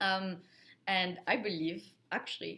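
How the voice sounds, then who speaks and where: A woman with a French accent speaks at a medium pitch in a bright, sharp tone. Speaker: account manager in IT sales, video creator. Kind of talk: casual talk to camera, advice. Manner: casual, filler words.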